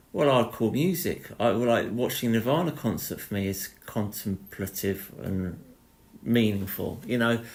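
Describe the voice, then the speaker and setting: A man with a plain, everyday voice, medium pitch, lively intonation and a fairly slow pace. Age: 40s. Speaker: artist and musician. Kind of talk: casual chat.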